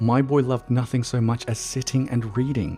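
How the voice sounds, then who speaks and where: Music plays in the background. A man is speaking over it. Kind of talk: horror story narration. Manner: speech impediment.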